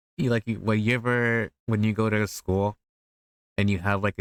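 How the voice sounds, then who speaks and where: A man speaks fairly quickly in a Spanish accent, his intonation flat and monotone. The sound is dry and close with no echo, and the recording is very clean with a silent background. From US. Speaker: VTuber streamer. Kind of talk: casual chat. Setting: live stream.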